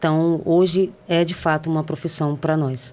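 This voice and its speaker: A woman speaks in a Rio de Janeiro accent at a fairly slow pace. Her fairly low voice has a dark, mellow tone. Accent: Rio de Janeiro (carioca). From Brazil, São Gonçalo (Rio de Janeiro state). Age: 30s. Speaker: professional footballer. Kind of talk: interview. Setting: studio.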